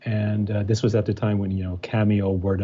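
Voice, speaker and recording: This man has a fairly low pitch and a dark, mellow, somewhat breathy tone, speaking with an American accent. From Germany. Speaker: musician and architect. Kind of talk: interview. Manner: halting, many fillers.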